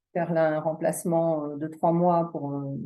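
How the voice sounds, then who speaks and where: This woman's voice sits fairly low, with a dark, mellow tone and monotone, flat intonation. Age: 60s. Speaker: massage therapist and reflexologist, coaching client. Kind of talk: testimony. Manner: halting.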